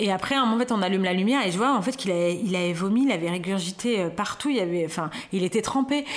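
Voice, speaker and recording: A woman talks at a very fast pace with very even loudness and ordinary pitch variation. Noticeable background noise runs underneath. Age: 40s. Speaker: new mother. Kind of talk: interview. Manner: halting.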